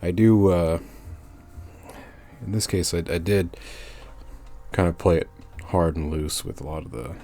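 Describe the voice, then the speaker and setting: A man speaks at a moderate pace in a very deep, low voice with ordinary pitch variation. He leaves long, frequent pauses while music plays in the background. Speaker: illustrator. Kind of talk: drawing process narration. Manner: casual, hesitant, many fillers.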